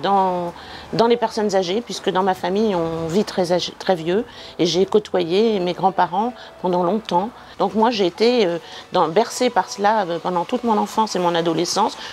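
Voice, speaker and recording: Over noticeable background noise, a woman talks at a moderate pace at a medium pitch with ordinary pitch variation. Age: 60s. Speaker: retired social worker and volunteer. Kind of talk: interview testimony. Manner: hesitant, with many fillers.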